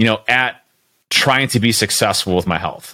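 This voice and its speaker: With a bright, sharp tone, a man speaks using lively intonation. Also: dry, close sound with no echo. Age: 30s. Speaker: coaching client and business leader. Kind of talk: casual interview.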